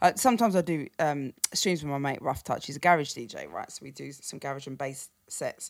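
With a very deep, low pitch and a southern English accent, a woman speaks at a fairly quick pace with lively intonation, hardly any pauses and big swings in loudness. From London, then Cambridgeshire countryside. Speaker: drum and bass and garage DJ. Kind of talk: casual interview chat.

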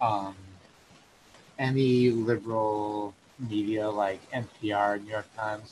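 A man speaks with a somewhat breathy voice. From US Northeast, Northampton, Massachusetts. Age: 20s. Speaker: political convert, coworker of host. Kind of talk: casual chat.

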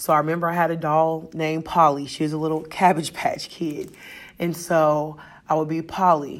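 A woman with an American accent speaks in a very deep, low voice. Her intonation is monotone and flat. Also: moderate pace. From US Midwest. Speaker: teacher. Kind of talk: podcast monologue, reflective talk. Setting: recorded at school, announcements in background. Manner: loud, carries well.

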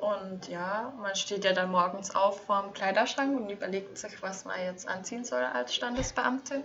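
A woman in a plain, everyday voice, medium in pitch, with lively intonation at a fairly slow pace. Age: 20s. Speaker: former registrar. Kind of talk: casual chat.

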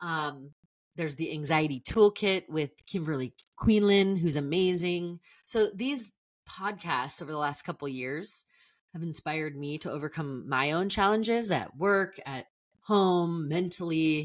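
On a very clean recording with a silent background and a dry, close sound with no echo, a woman of fairly low pitch speaks animatedly at a fairly slow pace with ordinary pitch variation. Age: 40s. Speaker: podcast host. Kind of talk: casual monologue.

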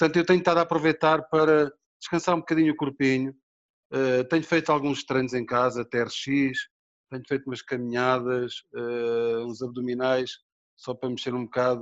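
In an unremarkable speaking voice, a man talks at a moderate pace. His pitch is medium and his intonation fairly even. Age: 50s. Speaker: bodybuilder and film actor. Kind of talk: casual interview.

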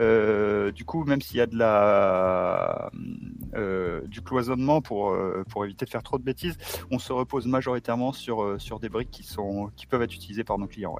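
This is a normal speaking voice at a moderate pace. The pitch shows ordinary variation. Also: man, medium pitch for a man. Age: 40s. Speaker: tech company executive. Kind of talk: podcast interview.

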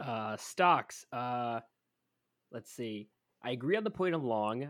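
A man talks in a normal speaking voice at a medium pitch and moderate pace. The recording is very clean, with a silent background. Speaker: fan podcast co-host.

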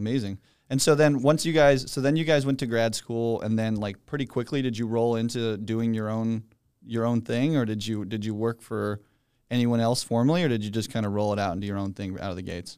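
On a very clean recording with a silent background, a man with a normal speaking voice talks at a fairly quick pace, medium pitch and ordinary pitch variation. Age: 20s. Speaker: podcast host. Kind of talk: casual chat.

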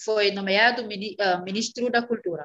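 A woman's voice with fairly even intonation. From Senegal, Casamance in the south, raised in Dakar. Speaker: Portuguese teacher. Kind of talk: interview. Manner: halting, with frequent hesitations.

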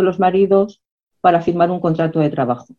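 Talking at a fairly quick pace, a woman has an unremarkable speaking voice at a medium pitch. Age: 60s. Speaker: historian and activist. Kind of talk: lecture.

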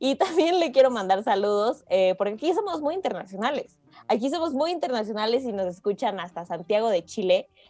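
Her dark, mellow voice carries very wide pitch swings as this woman speaks. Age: 20s. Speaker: podcast host. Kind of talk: interview. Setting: video call.

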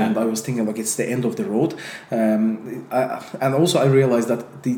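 Over noticeable background noise, a man with an Azerbaijani accent talks at a moderate pace with ordinary pitch variation. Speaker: entrepreneur and YouTuber. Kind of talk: casual interview conversation. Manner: halting, many fillers.

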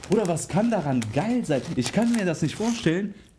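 Noticeable background noise surrounds a man speaking at a moderate pace. His pitch swings very widely. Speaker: podcast co-host. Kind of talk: casual chat.

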